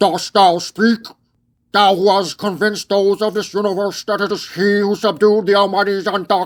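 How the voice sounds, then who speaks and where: A robotic, put-on character voice at a middle pitch holds a monotone, flat intonation at a moderate pace. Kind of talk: archaic, thee/thou speech. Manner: chilling, ominous.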